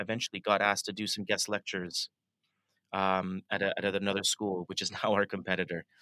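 A man with a bright, sharp tone and monotone, flat intonation, in a very clean recording with a silent background, dry and close with no echo. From Canada, Toronto. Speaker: design school creative director. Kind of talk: interview.

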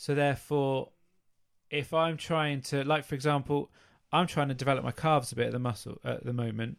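In a normal speaking voice, a man talks fairly quickly at a fairly high pitch with fairly even intonation. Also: very clean recording, silent background. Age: 30s. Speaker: fitness podcast co-host. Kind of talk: casual chat.

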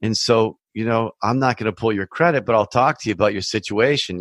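In a normal speaking voice, a man talks at a medium pitch with ordinary pitch variation, the sound dry and close with no echo against a quiet background. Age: 50s. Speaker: mortgage broker and podcast host. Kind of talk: solo educational podcast monologue. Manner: casual, conversational.

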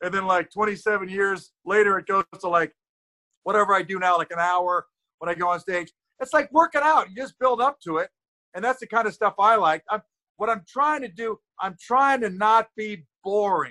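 A man's raised, projected voice, high in pitch and bright and sharp in tone, with ordinary pitch variation and a dry, close sound with no echo. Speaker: comedian. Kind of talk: casual chat. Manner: fast talker.

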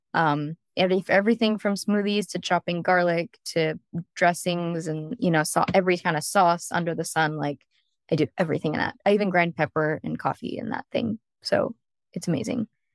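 A woman with a Californian accent, a fairly quick pace, ordinary pitch variation, and a dry, close sound with no echo. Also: fairly low pitch for a woman. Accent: Californian American. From US, San Diego, California. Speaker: private chef. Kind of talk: casual interview chat.

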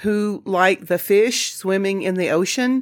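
A woman with a Southern US accent speaks very slowly with lively intonation, on a very clean recording with a silent background. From US Deep South, Jackson, Mississippi. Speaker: podcast host. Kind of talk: solo podcast monologue.

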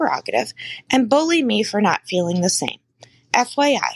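With an ordinary speaking voice, a woman of fairly high pitch talks at a moderate pace in a dry, close sound with no echo. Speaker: guest expert, podcaster, author. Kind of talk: reading a letter, then advice chat.

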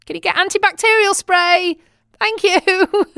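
In a British accent, a woman speaks with a raised, projected voice. Her tone is bright and sharp, and her pace very slow. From England. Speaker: expat audio diarist. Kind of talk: personal audio diary monologue. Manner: chatty, often laughing.

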